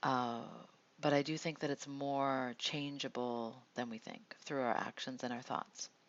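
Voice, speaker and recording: A soft-spoken woman with a very deep, low voice talks at a moderate pace with fairly even intonation. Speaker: meditation host and card reader. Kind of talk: guided meditation with card reading. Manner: halting.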